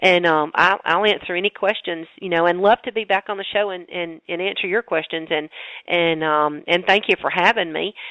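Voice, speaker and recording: At a moderate pace, a woman with a Southern US accent talks in a fairly low pitch. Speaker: holistic dentist. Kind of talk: interview. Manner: animated.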